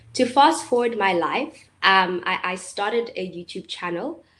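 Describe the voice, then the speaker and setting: With a South African accent, a woman speaks at a fairly slow pace in a bright, sharp tone with lively intonation. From South Africa, Eastern Cape (Port Elizabeth). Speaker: YouTuber and entrepreneur. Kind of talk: webinar talk. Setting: live online webinar. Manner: hesitant, many fillers.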